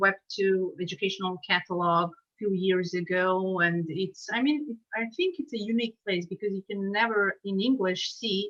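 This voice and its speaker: Using a Serbian accent, a woman talks at a moderate pace and a medium pitch. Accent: Serbian accent, noticeable. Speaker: subtitle translator and teacher. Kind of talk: casual chat. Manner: halting, many fillers.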